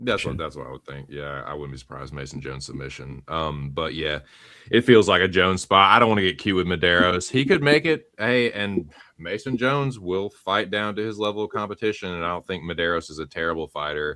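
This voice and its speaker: A man with a Southern US accent and a very deep, low pitch talks at a fairly quick pace, his bright, sharp tone carrying lively intonation and big swings in loudness. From US South. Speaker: MMA betting panelist. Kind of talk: casual chat. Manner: casual, filler-heavy.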